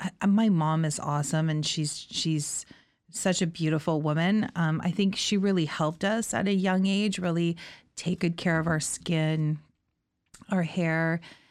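A woman's normal speaking voice, fairly low in pitch and fairly slow, at very even loudness in a very clean recording with a silent background. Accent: Canadian. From Niagara region, Ontario, Canada. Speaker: salon owner. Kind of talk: interview. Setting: her hometown.

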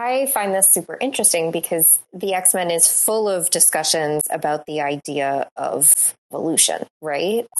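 A woman's normal speaking voice, medium in pitch, fairly slow, with lively intonation. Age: 20s. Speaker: academic co-host. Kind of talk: casual chat.

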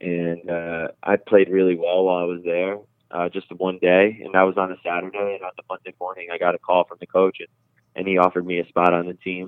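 Very deep and low in pitch, a man with an American accent speaks at a very fast pace in a monotone, flat intonation, with big swings in loudness. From New Jersey, near Rockland County NY. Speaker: professional soccer goalkeeper. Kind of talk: interview.

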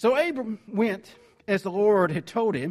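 A man speaks in a Southern US accent at a fairly slow pace. His pitch is high. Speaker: preacher. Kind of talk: sermon. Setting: church.

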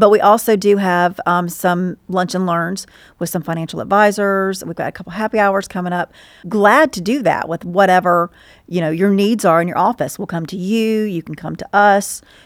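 Speech in a Southern US accent comes at a moderate pace with big swings in loudness, in a very clean recording with a silent background. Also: woman, medium pitch for a woman, fairly even intonation. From Georgia, US South (Stockbridge). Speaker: insurance paraplanner. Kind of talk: interview.

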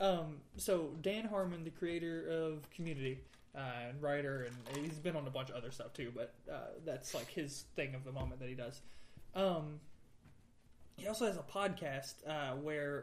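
Moderate pace from a man with a fairly high pitch and ordinary pitch variation, in audible room echo. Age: 30s. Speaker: podcast host. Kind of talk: casual chat.

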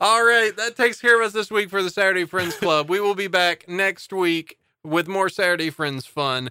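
A man's raised, projected voice, high-pitched with a bright, sharp tone, at a moderate pace with hardly any pauses, dry and close with no echo. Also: ordinary pitch variation. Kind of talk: casual chat.

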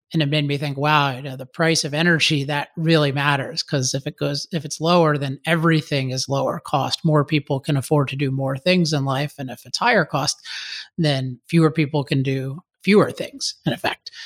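A man with a General American accent speaks at a moderate pace, his pitch fairly high and his intonation fairly even, in an ordinary speaking voice. The recording is dry and close, with no echo. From US, Maryland. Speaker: author and energy advocate. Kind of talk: interview.

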